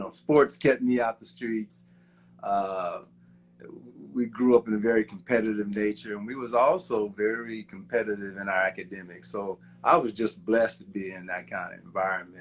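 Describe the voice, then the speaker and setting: In a normal speaking voice with an American accent, a man talks at a moderate pace with a fairly low pitch, ordinary pitch variation and big swings in loudness. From Kansas, US Midwest. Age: 60s. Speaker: civil engineer. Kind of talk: interview conversation.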